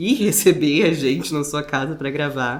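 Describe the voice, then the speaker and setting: Pitched very deep and low, the woman's voice shows ordinary pitch variation. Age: 20s. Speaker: podcast interviewer. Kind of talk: podcast interview introduction. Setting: living room at the guest's home.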